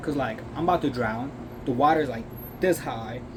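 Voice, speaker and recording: Lively intonation from a male speaker, with audible room echo and noticeable background noise. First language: Chinese and Uyghur. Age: 20s. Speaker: vlogger, food truck worker. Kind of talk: casual vlog monologue. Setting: in a food truck. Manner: hesitant, many fillers. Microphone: earbud mic, maybe poor audio.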